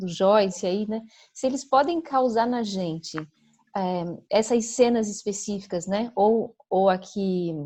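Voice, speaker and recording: A woman's somewhat breathy voice, dark and mellow in tone, at medium pitch with ordinary pitch variation and a very slow pace. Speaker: psychoanalyst. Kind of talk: conference Q&A discussion. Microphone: audio dropping out, poor internet connection.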